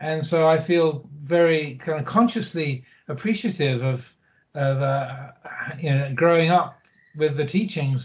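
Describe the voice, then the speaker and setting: Over music in the background, a man with a fairly high pitch speaks at a fairly slow pace. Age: 60s. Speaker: Buddhist monk. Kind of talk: interview. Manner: hesitant, many fillers.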